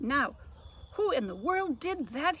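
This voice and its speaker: Over light background noise, a woman uses a raised, projected, put-on character voice, high in pitch with very wide pitch swings. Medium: read story.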